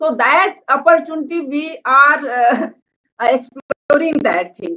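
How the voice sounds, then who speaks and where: A woman with an Indian accent speaks in a high voice with lively intonation. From India, Madhya Pradesh. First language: Hindi. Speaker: NGO organic farming organizer. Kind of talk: webinar presentation. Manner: halting, many hesitations.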